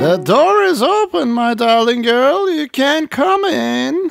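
A man uses a put-on character voice at an extremely high pitch, speaking at a fairly slow pace. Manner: deceptive, sweetly feigned.

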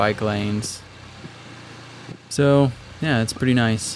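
A man's voice at a very slow pace, with light background noise. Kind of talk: casual vlog chat. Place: car. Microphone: phone near.

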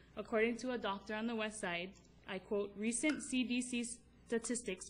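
Over light background noise, a woman with a Hawaiian accent speaks at a moderate pace in a fairly high, somewhat breathy voice with fairly even intonation. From Kauai, Hawaii. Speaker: mother. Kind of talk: public testimony to county council. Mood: earnest, emotional. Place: hall. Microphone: podium.

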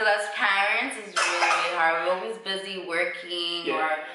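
A woman talks at a moderate pace. Loud background noise and audible room echo fill the recording. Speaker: daycare owner and vlogger. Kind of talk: casual vlog chat. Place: home room.

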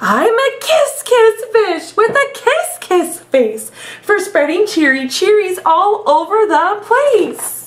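A put-on character voice at an extremely high pitch goes sing-song at a very slow pace with hardly any pauses. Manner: silly, sing-song, cheery.

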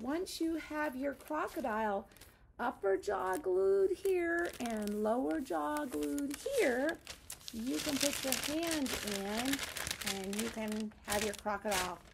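Over loud background noise, a woman speaks very slowly. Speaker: teacher. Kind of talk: craft tutorial for young children. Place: classroom. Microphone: phone near.

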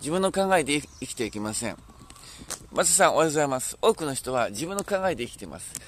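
Pitch moves up and down very widely. Delivery runs fairly quick. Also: man. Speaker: pastor. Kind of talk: sermon. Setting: outdoors.

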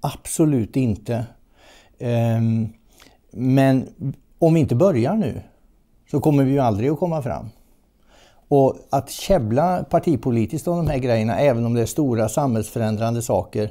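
A man speaks at a moderate pace in a dark, mellow tone with ordinary pitch variation. He leaves long, frequent pauses against a quiet background. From Sweden, Västergötland (Mariestad); Sweden. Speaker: environmental journalist and author; environmental journalist. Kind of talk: interview. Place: home room. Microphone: lapel.

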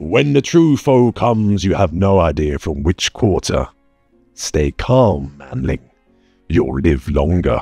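Putting on a character voice with a very deep, low pitch, a man speaks at a fairly slow pace while faint music plays in the background. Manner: gruff, blunt, steady.

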